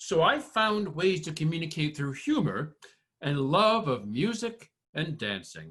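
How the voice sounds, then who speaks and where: Pitched fairly high with very wide swings, a man with an American accent speaks fairly slowly with vocal fry. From US Northeast, Connecticut (Windham County). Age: 60s. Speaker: performer of own monologue, army veteran. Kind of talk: spoken-word performance. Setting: video call.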